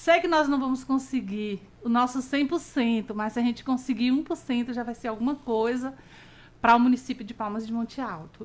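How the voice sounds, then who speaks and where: Pitch shifts in an ordinary way as the words arrive at a moderate rate. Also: woman. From Bahia, Brazil (Caetité). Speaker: early childhood educator. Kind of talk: radio interview. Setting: radio program.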